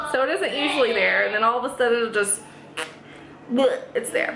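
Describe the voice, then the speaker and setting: With an American accent, a woman projects a raised voice at a high pitch. Audible room echo and noticeable background noise surround her. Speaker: family vlogger. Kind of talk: casual vlog talk to camera. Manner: chatty, self-correcting.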